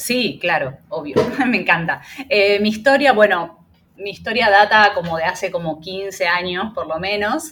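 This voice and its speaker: With lively intonation, a woman speaks at a medium pitch and a fairly slow pace. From Argentina. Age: 30s. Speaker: Reiki teacher and small business owner. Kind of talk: interview. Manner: hesitant, many fillers.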